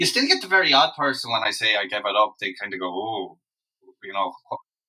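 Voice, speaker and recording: In a western Irish accent, a man talks at a very fast pace. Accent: Irish (west of Ireland). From Ireland, Loughrea, County Galway. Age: 40s. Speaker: singer-songwriter. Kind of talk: interview, casual chat.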